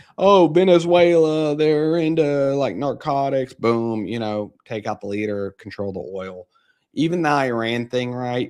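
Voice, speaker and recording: A man with an American accent, a moderate pace and lively intonation, against a quiet background. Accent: slight country. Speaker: market commentary livestreamer. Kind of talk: casual live stream commentary.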